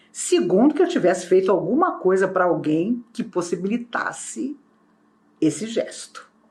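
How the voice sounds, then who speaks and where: Speaking fairly slowly, a woman uses lively intonation in a somewhat breathy voice. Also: medium pitch for a woman. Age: 60s. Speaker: spiritist speaker. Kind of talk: spiritual talk.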